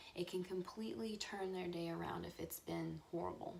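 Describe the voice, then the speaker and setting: A woman's quiet voice, fairly low in pitch, with a dark, mellow tone and a fairly quick pace. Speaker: true-crime vlogger. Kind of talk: casual vlog monologue. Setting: at home. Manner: hesitant with fillers.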